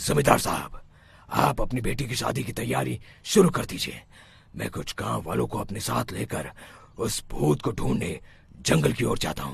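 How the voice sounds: Using a cartoonish character voice, a man with a fairly low pitch makes very wide pitch swings. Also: moderate pace.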